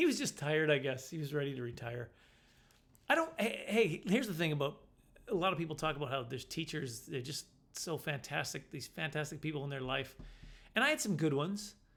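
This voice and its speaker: This man speaks very fast. His voice sits fairly high, and its pitch varies in an ordinary way. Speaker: comedian. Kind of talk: casual storytelling monologue. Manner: stutter.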